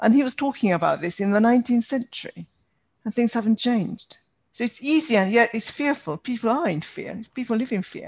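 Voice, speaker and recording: A woman talks fairly quickly in a plain, everyday voice, her fairly high pitch rising and falling in lively intonation against a quiet background. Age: 60s. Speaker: podcast host. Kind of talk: casual interview.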